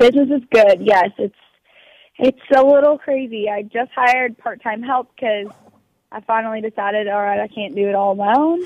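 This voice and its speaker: Heard in a dry, close sound with no echo, an ordinary speaking voice moves at a moderate pace with ordinary pitch variation. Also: woman, fairly high pitch for a woman. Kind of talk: casual chat.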